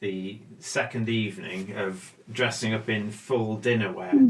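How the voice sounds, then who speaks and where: A normal speaking voice at a fairly slow pace. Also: man. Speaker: bridge show host. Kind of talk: casual talk while playing cards.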